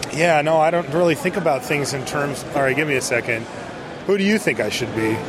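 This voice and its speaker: With an American accent, a man talks at a fairly quick pace in a fairly high pitch, his pitch varying in an ordinary way over noticeable background noise. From US West Coast. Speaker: card game judge. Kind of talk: casual interview.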